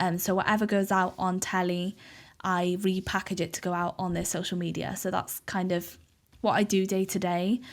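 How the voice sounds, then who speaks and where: A woman with a Welsh accent, medium in pitch, monotone and flat in intonation, at a moderate pace, on a very clean recording with a silent background. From Wales, Cardiff. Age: 20s. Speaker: podcaster and social media journalist. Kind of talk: casual interview chat.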